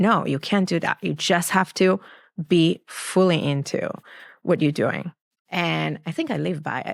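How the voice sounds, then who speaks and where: A woman with an Israeli accent speaks at a fairly slow pace. The recording is very clean, with a silent background and a dry, close sound with no echo. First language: Hebrew. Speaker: clinical psychologist. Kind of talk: interview answer.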